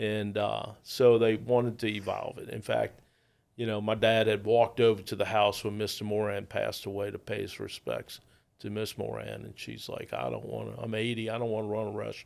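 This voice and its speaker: A man with a New Orleans accent talks at a fairly quick pace with big swings in loudness, captured in a very clean recording with a silent background. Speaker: restaurateur. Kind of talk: casual interview chat.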